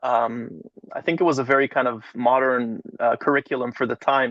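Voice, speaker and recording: At a moderate pace, a man talks at a medium pitch in an unremarkable speaking voice. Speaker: rabbi and educator. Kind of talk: interview.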